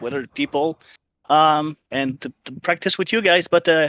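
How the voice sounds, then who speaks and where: Here a man with a Quebec accent speaks at a high pitch in a bright, sharp tone. The pace is moderate, and the sound is dry and close with no echo. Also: quiet background. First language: French. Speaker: sim racing team member. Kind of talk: post-race interview. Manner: halting, many fillers.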